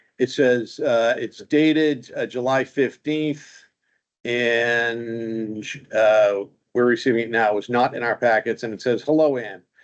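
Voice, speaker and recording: His pitch sits in the medium range and varies in an ordinary way. This man has an ordinary speaking voice. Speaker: zoning board chair. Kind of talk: public meeting. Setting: town meeting room.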